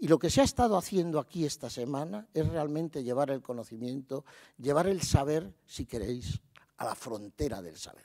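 This man has a dark, mellow tone, a fairly high pitch and lively intonation, talking at a moderate pace. His loudness swings widely against a quiet background. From Spain. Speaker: university rector. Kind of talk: ceremonial speech. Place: hall. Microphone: podium.

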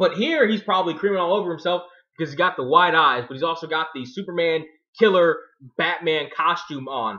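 Against a quiet background, a man talks at a fairly quick pace. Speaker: video blogger. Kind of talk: casual commentary. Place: home room. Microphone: webcam.

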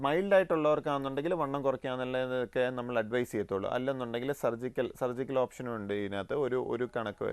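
A man's voice shows ordinary pitch variation, with noticeable noise in the background. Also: medium pitch for a man. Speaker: pulmonologist. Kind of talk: TV health interview.

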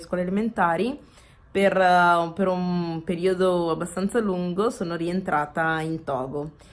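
A woman speaks at a fairly slow pace. Her voice sits fairly low. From Veneto, Italy (Padua province); Veneto, Italy. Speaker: interview guest. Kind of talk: casual interview. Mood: cheerful, warm.

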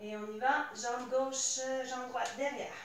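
Against light background noise and audible room echo, a woman with a high pitch speaks at a fairly slow pace with fairly even intonation. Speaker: fitness instructor. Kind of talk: workout instruction. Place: home room. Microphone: camera far.

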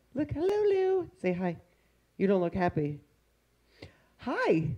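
Against a quiet background, a woman speaks at a fairly slow pace. Her pitch swings very widely. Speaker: fitness instructor. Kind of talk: casual live-stream chat. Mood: cheerful, playful. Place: home room. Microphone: headset.

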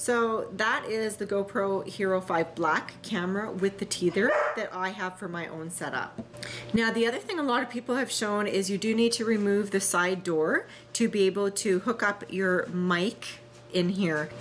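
Faint music plays behind a woman speaking at a moderate pace with ordinary pitch variation. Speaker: motovlogger showing gear. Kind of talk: tutorial. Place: kitchen.

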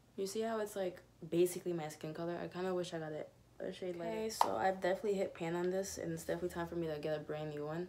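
Background noise is loud. Over it, a woman speaks very fast. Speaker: beauty vlogger. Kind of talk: casual makeup tutorial chat. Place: home room. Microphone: phone near.

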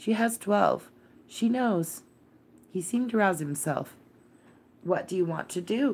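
Calm and soothing in tone, a woman of medium pitch speaks with lively intonation. She keeps a fairly slow pace with long, frequent pauses. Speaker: audiobook reader, channel host. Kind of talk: literary audiobook reading, bedtime read-aloud. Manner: soft, calm, soothing storyteller pace with gentle character voices; slightly animated in dialogue, Yorkshire-dialect lines for Martha.

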